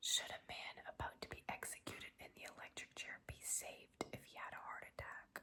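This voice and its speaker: A woman whispering at a moderate pace. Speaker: ASMR creator. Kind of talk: whispered ASMR ramble to camera. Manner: whispered, casual, chatty.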